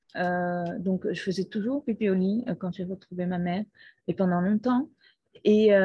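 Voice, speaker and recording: A woman's medium-pitched, somewhat breathy voice with a dark, mellow tone, ordinary pitch variation and a fairly slow pace, against a quiet background. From Brazil. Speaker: podcaster. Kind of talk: personal testimony. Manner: halting.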